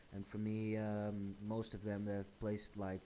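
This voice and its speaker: A man speaks with a Portuguese accent at a fairly slow pace. His voice sits fairly low. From Portugal. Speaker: gaming YouTuber. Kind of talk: gameplay tutorial. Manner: hesitant, many fillers.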